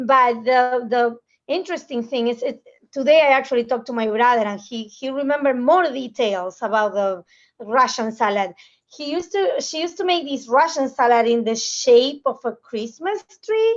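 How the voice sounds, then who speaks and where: High-pitched woman's voice with a Spanish accent, lively intonation and a moderate pace. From Argentina. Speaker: food magazine professional. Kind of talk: panel discussion.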